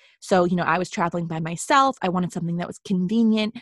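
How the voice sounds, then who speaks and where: A woman with a plain, everyday voice speaks in an American accent at a medium pitch. Her intonation is fairly even, and the background is quiet. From Boston, US Northeast. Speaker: travel writer and blogger, podcast co-host. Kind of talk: casual chat.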